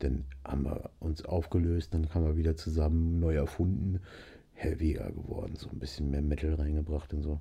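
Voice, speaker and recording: A man's very deep, low voice, somewhat breathy, at a moderate pace. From northern Germany, Nienburg (Lower Saxony). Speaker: musician and gamer. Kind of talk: casual chat. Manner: animated.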